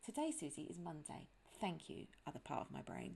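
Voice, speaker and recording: A woman is speaking. She has a strong British accent. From London, England. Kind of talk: casual podcast monologue. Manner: chatty.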